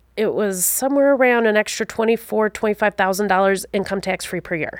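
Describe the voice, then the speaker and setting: In a dry, close sound with no echo, a woman talks at a fairly quick pace and medium pitch. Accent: Wisconsin. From Wisconsin. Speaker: financial advisor. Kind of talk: interview.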